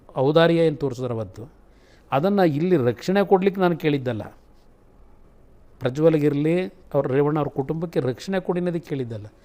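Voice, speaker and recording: A man speaks at a fairly high pitch with ordinary pitch variation. His tone is dark and mellow. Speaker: politician. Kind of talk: interview answer.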